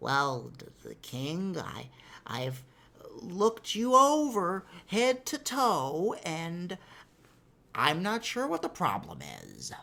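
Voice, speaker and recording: Heard on a very clean recording against a silent background, a put-on character voice at middle pitch goes along at a very slow pace. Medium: read story. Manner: hesitant, stumbling.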